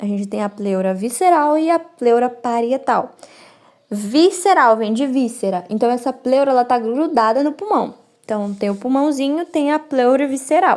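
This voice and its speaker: A woman's voice is high in pitch. She talks with lively intonation at a moderate pace. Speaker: medical student. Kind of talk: study review lecture. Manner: halting.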